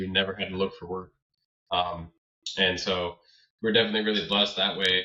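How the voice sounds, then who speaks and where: A man is speaking. His pace is very fast. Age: 20s. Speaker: landscaping business owner. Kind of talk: interview. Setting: podcast.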